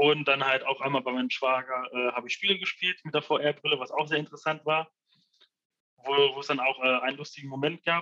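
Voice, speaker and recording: A man's normal speaking voice, fairly high in pitch, fairly quick, with fairly even intonation. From Ruhr area, Germany (Essen). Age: 20s. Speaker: freelance 3D visualizer. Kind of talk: casual interview.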